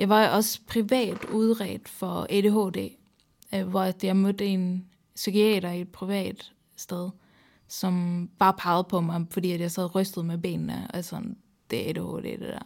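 A woman with a Swedish accent speaks at a very slow pace with a medium pitch and fairly even intonation. The recording is very clean, with a silent background. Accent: Swedish accent in Danish. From Sweden. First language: Swedish (speaking Danish). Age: 30s. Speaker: psychiatric patient guest. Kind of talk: casual interview conversation.

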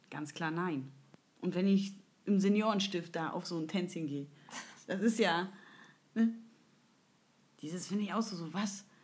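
A woman talks with fairly even intonation. Her voice is somewhat breathy. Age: 30s. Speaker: podcast host. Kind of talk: casual chat.

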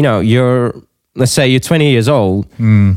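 On a very clean recording with a silent background, a man with a normal speaking voice and medium pitch talks at a fairly slow pace with lively intonation. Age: 20s. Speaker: podcast host. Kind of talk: casual interview.

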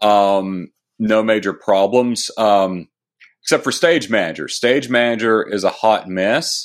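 This man has an unremarkable speaking voice with a fairly low pitch and ordinary pitch variation. The recording is very clean, with a silent background. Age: 30s. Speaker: tech author. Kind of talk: interview.

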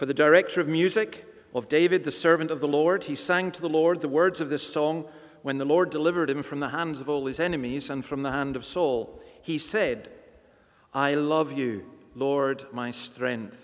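A man with a Scottish accent and a fairly high pitch. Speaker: church reader and host. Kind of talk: reading aloud scripture.

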